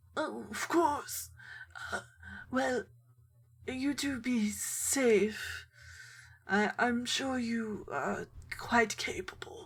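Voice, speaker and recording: Using a high-pitched put-on character voice, a woman speaks at a very slow pace with long, frequent pauses. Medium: actual play. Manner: genteel, chatty.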